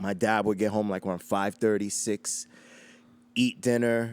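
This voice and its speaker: With a New York accent, a man of fairly low pitch speaks at a moderate pace in a flat monotone, the sound dry and close with no echo. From Queens, New York City. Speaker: hip hop DJ. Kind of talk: interview storytelling.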